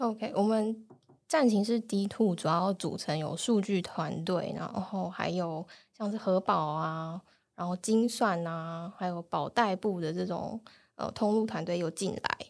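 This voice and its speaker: This woman has a normal speaking voice at medium pitch with ordinary pitch variation. The recording is very clean, with a silent background. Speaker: data analyst. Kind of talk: casual interview chat.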